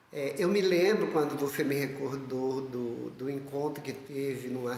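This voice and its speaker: A man with a fairly high pitch at a fairly slow pace, with ordinary pitch variation, noticeable background noise, and audible room echo. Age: 70s. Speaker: lay missionary and artist. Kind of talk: testimony.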